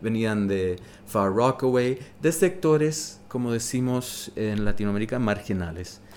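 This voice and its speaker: An ordinary speaking voice from a man, medium in pitch, with lively intonation at a fairly slow pace. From New York City. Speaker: witness of 1980s New York nightlife. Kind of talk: casual interview.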